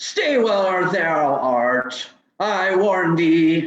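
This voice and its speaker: A man puts on a character voice. It is high-pitched. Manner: menacing, archaic.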